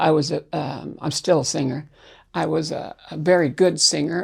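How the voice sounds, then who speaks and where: The voice carries vocal fry at a moderate pace. The background is quiet. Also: woman. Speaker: interviewee sharing life story. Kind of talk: interview.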